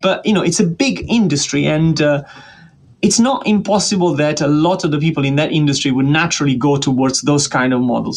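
A man speaks with an Italian accent at a moderate pace. His pitch is fairly high, with ordinary variation. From Italy (Tuscany, Florence). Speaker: statistics professor. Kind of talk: interview.

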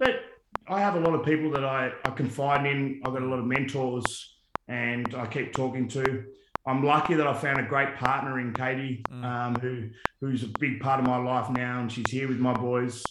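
Audible room echo surrounds a man with an Australian accent. His medium pitch stays in a monotone, flat intonation. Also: moderate pace. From Tasmania, Australia. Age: 40s. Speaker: former football player. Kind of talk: casual interview.

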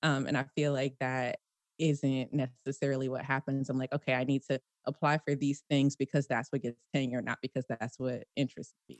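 A woman's very deep, low voice in an American accent, monotone and flat, at a fairly quick pace, with a dry, close sound and no echo. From Washington D.C. and Prince George's County, Maryland. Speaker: engineering professor. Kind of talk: casual interview. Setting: video call.

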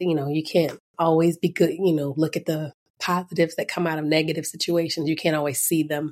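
Monotone, flat intonation marks a woman's very deep, low voice. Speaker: guest, adoptive mother. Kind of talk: casual interview chat.

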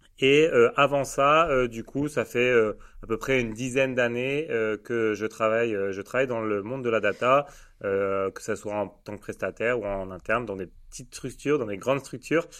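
A man with a normal speaking voice talks at a moderate pace and medium pitch with ordinary pitch variation against a quiet background. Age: 30s. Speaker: data agency founder. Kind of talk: casual interview chat.

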